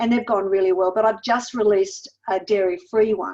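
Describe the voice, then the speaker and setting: Moderate pace from a woman with an Australian accent. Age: 60s. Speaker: weight loss mentor and cookbook author. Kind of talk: podcast interview.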